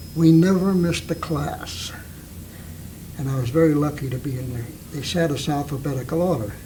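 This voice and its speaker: A man talks at a moderate pace with a fairly high pitch and ordinary pitch variation. Noticeable background noise and audible room echo fill the recording. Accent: American. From Napa, California. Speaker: war veteran and longtime local resident. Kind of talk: oral history interview.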